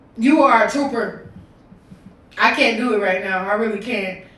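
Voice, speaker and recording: There is audible room echo around a woman with a high pitch. Her tone is animated, with ordinary pitch variation. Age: 20s. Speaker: podcast host and streamer. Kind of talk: casual livestream podcast intro. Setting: live stream.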